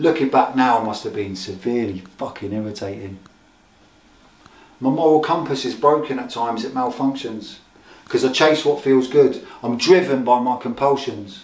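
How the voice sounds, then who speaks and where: A man with an ordinary speaking voice talks at a medium pitch and a moderate pace, with ordinary pitch variation. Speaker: recovering addict, spoken word poet. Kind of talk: spoken word poetry performance.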